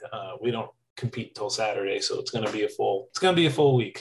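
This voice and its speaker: The man's voice comes across as somewhat breathy. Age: 30s. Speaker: barbershop quartet singer. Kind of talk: interview.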